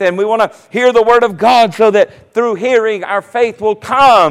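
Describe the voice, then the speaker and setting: A man speaks in a high pitch with a Southern US accent. His tone is animated, with ordinary pitch variation. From US South, South Carolina. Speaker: pastor. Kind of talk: sermon.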